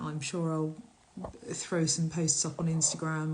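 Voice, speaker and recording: A woman talks at a moderate pace, somewhat breathy. Her pitch sits fairly low. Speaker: shaman and workshop leader. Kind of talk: casual live stream. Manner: halting, with filler words.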